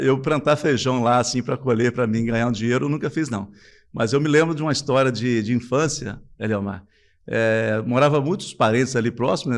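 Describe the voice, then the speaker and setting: Fairly quick speech from a man at medium pitch, a plain, everyday voice with ordinary pitch variation. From Brazil, Espírito Santo (Cachoeiro de Itapemirim countryside). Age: 50s. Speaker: businessman. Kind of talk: interview.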